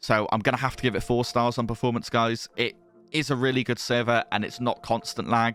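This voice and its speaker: With a British accent, a man talks at a fairly quick pace and medium pitch over music in the background. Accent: British accent, noticeable. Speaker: Minecraft server reviewer, YouTuber. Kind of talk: video review commentary. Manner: casual, conversational with some repetitions.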